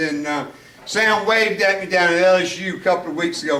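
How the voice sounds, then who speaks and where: Someone with a Southern US accent talks at a moderate pace. Noticeable background noise and audible room echo are present. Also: man. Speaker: former high school football coach. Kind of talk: after-dinner speech.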